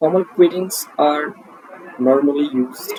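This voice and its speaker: A man speaks with an Indian accent. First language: Hindi. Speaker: English teacher. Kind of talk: online English lesson.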